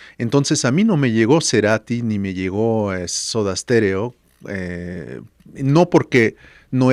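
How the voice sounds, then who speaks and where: A man talks at a medium pitch and a fairly slow pace in a plain, everyday voice. The recording is very clean and dry, with a silent background, a close sound and no echo. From France (Paris). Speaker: musician and music producer. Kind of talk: podcast interview.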